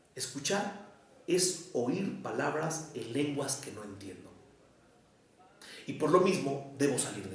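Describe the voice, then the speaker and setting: Against noticeable background noise, a man with a fairly high pitch speaks very slowly, with long, frequent pauses, very wide pitch swings and big swings in loudness. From Mexico, Mexico City mixed with Jalisco. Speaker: psychoanalyst and professor. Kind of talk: lecture. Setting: university lecture, streamed online. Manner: formal.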